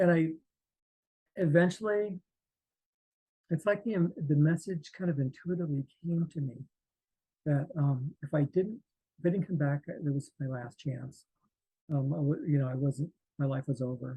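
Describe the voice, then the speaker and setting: A man's fairly high, somewhat breathy voice with a dark, mellow tone, at a moderate pace with long, frequent pauses, in a dry, close sound with no echo. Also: ordinary pitch variation. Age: 60s. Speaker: near-death experience survivor and artist. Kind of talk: interview testimony. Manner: halting, many fillers and restarts.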